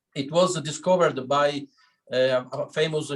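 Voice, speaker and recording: With a Sicilian accent, a man talks at a moderate pace in a fairly high pitch, his intonation fairly even. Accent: Italian (Sicilian). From Sicily, Italy. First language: Italian. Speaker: winery owner. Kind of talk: wine tasting talk. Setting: video call. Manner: halting, many fillers.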